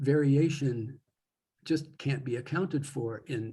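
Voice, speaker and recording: Very slow, somewhat breathy speech with fairly even intonation. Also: man. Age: 70s. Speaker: poet with Parkinson's. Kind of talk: interview conversation. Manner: halting.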